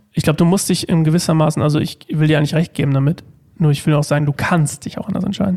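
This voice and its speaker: Very fast and at a fairly high pitch, a man delivers his words with fairly even intonation. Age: 30s. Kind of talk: casual chat.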